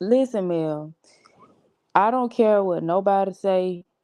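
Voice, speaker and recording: A woman speaks very slowly with a Georgia accent. Her tone is dark and mellow. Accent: Georgia Southern. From Georgia, US (outside Atlanta). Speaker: livestream participant. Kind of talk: casual chat.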